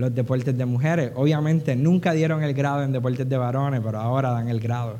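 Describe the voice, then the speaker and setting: A man at a medium pitch and moderate pace, fairly even in intonation, with audible room echo and noticeable background noise. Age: 40s. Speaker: preacher. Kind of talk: sermon.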